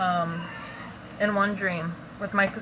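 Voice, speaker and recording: A woman talks with noticeable background noise. Audible room echo surrounds her voice. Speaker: vlogger sharing dream interpretations. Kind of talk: casual monologue, dream testimony. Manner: casual, filler-heavy; whispering.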